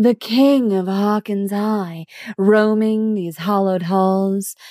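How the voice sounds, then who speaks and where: Quiet and very slow, a put-on character voice sounds female-sounding with a medium pitch for a woman. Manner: mock reverent, teasing.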